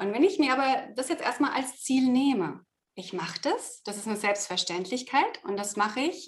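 A woman speaks at a moderate tempo in a high voice whose pitch swings very widely. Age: middle-aged. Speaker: yoga teacher and former biologist. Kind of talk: casual interview.

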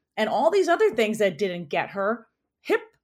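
Using an ordinary speaking voice with an American accent, a woman talks at a moderate pace, fairly high in pitch, with lively intonation. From New York City (Queens). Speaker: orthopedic surgeon. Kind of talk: interview.

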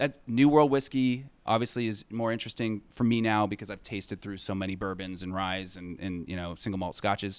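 At a fairly quick pace, a man in an ordinary speaking voice talks at a fairly low pitch with ordinary pitch variation. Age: 40s. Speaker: spirits brand ambassador. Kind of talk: casual chat.

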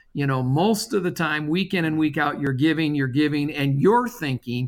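With an American accent, a man talks at a moderate pace in a fairly high pitch with ordinary pitch variation and a normal speaking voice. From US Midwest (Michigan). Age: 50s. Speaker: church denomination leader and pastor. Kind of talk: interview.

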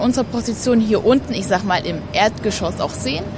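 A woman speaks at a fairly high pitch. Noticeable background noise sits behind her. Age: 20s. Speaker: federal police officer. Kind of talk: interview.

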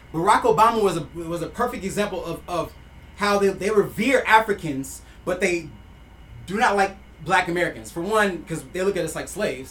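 Noticeable background noise sits under the speech. The talking runs at a fairly quick pace. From Chicago. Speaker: radio personality, podcast co-host. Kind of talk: casual chat.

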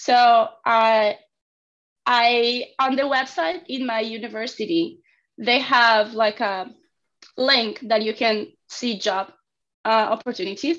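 A woman's fairly high-pitched voice in a Spanish accent, very slow, with long, frequent pauses. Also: ordinary pitch variation. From Argentina. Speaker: clinical research intern. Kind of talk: interview.

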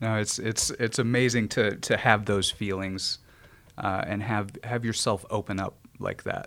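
At a fairly slow pace, a man talks in a fairly low pitch with monotone, flat intonation. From Arkansas. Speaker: podcast host. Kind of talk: interview. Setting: studio.

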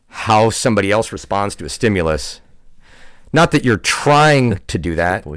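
Moderately paced speech from a man with vocal fry and lively intonation, in a very clean recording with a silent background. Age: 30s. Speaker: water polo coach. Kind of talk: casual chat. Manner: halting.

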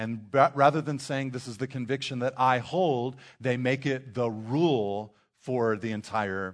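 Against a quiet background, a man at medium pitch uses an ordinary speaking voice at a moderate pace. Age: 30s. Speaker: pastor. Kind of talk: sermon. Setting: church.

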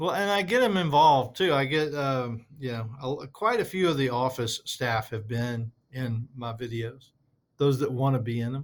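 Ordinary pitch variation and a moderate pace mark an ordinary speaking voice with an American accent. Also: man, medium pitch for a man. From Southeast Texas (Port Arthur area, near Louisiana border). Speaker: art director and prop master. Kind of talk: casual chat. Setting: at the office.

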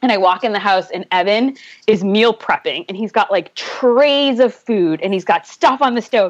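Speaking with an American accent, a woman uses a normal speaking voice at a fairly high pitch and moderate pace, with ordinary pitch variation. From US Northeast, Boston. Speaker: advertising creative director and podcaster. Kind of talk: casual interview chat.

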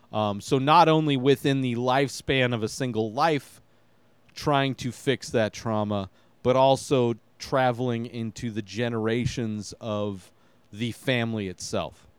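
At a fairly slow pace, a man with a plain, everyday voice speaks with ordinary pitch variation. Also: medium pitch for a man. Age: 40s. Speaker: podcast host. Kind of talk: solo TV review. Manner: casual, with filler words.

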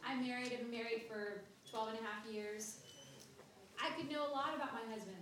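With audible room echo and noticeable background noise, a woman at a fairly high pitch speaks with long, frequent pauses. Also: ordinary pitch variation, fairly quick pace. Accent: American. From United States. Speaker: campus minister. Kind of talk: teaching talk. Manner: casual, conversational.

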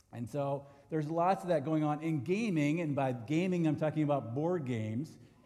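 A man's fairly high voice has a dark, mellow tone and lively intonation. Room echo is audible. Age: 50s. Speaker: pastor. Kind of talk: sermon.

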